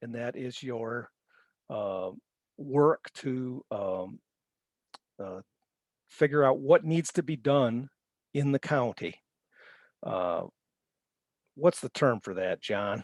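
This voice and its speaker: A man at medium pitch talks at a very slow pace, with long, frequent pauses and big swings in loudness. The sound is dry and close, with no echo. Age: 60s. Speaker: conservation presenter. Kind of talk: webinar presentation. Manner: halting.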